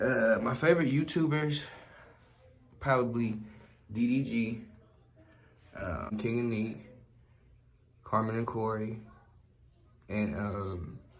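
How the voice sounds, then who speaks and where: Speaking at a very slow pace with long, frequent pauses, a man with a medium pitch and ordinary pitch variation is heard over noticeable background noise and audible room echo. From US West Coast, East Oakland, California. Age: 20s. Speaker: YouTuber. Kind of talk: casual Q&A vlog. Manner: relaxed, conversational with fillers.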